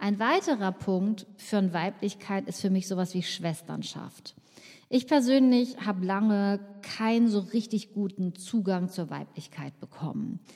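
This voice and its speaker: Somewhat breathy with a dark, mellow tone, a woman speaks at a fairly slow pace and medium pitch, with ordinary pitch variation. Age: 50s. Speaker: podcast host, nutritionist. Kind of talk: solo podcast monologue.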